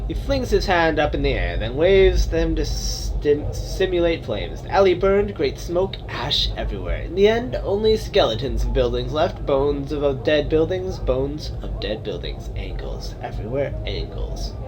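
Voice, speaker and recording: Over loud background noise, a man puts on a wheezy, raspy character voice at a moderate pace. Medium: read story. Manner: repetitive, broken phrasing with inverted word order.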